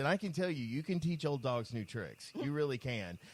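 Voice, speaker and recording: A man's plain, everyday voice, fairly high in pitch with lively intonation. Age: 50s. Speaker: podcast host. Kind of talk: casual chat.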